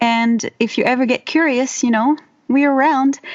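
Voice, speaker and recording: A woman with a French accent, at a moderate pace. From France. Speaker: herbalist and voiceover artist. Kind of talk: casual interview. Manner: halting, many fillers.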